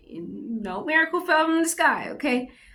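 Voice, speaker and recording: A woman's voice has a bright, sharp tone. Vocal fry runs through it. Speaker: vlogger doing a Bible devotional reading. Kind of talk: casual reflective commentary on a book. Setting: public library. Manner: halting, with self-corrections and fillers.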